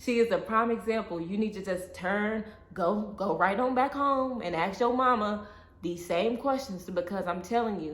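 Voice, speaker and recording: Noticeable background noise surrounds a woman's voice. She speaks at a medium pitch and a moderate pace, with ordinary pitch variation. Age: 20s. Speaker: vlogger, single mother. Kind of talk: casual talk to camera. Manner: candid, animated.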